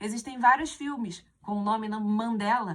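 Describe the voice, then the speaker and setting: A woman speaks in a normal speaking voice with a fairly high pitch. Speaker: teacher. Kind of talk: exam correction lesson.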